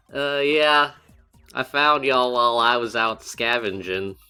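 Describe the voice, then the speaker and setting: A man puts on a drawling character voice at medium pitch, talking at a moderate pace over faint background music. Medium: actual play. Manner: casual, drawling, says y'all.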